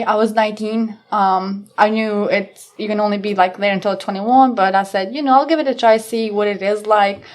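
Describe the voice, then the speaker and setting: A woman with a non-native accent talks at a fairly quick pace in a fairly high voice. Her intonation stays fairly even against a quiet background. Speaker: police officer. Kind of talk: casual interview chat.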